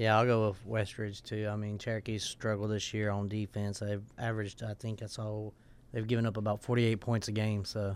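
Speaking at a fairly quick pace in a Southern US accent, a man has a fairly low pitch and flat, monotone intonation. The recording is very clean with a silent background. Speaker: radio sports show co-host. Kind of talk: casual radio talk. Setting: radio studio.

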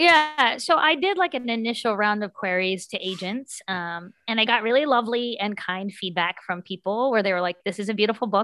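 A woman's fairly high, bright, sharp voice with an American accent, lively intonation, a fairly quick pace and hardly any pauses, on a very clean recording with a silent background. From US South, southern West Virginia. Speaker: author and middle school teacher. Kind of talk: interview.

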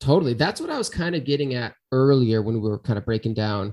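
The speaker has a normal speaking voice with ordinary pitch variation, at a fairly quick pace. The recording is very clean, with a silent background. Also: man. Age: 30s. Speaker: podcast host. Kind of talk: casual chat.

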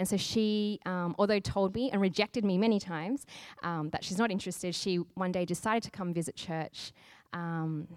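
On a very clean recording with a silent background, a woman with an Australian accent speaks at a medium pitch. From Australia, Sydney. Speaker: church planter. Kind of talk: interview.

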